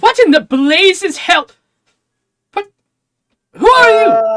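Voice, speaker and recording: The speaker puts on a character voice. The pace is very slow. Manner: startled, indignant.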